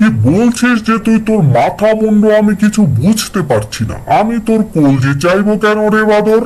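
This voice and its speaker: A man uses a cartoonish character voice at a high pitch and a moderate pace. His pitch varies in an ordinary way, with light background noise behind him. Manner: coaxing.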